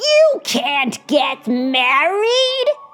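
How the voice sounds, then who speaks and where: A woman puts on a character voice pitched high. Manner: scary, menacing.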